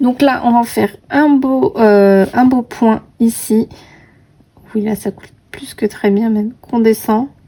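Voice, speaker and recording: A woman with a fairly high pitch speaks at a very slow pace with fairly even intonation amid noticeable background noise. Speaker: coloring video creator. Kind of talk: casual tutorial commentary while coloring. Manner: chatty, with many hesitations.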